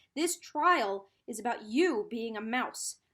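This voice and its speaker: A woman shouts in a put-on character voice with a high pitch. Her pace is fairly slow. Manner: shouting, stern.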